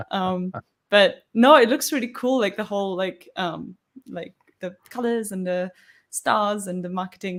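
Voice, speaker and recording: A woman speaks at medium pitch with ordinary pitch variation. Her loudness swings widely. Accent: non-native. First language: not English. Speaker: co-host of a live coding stream. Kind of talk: casual chat. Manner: animated.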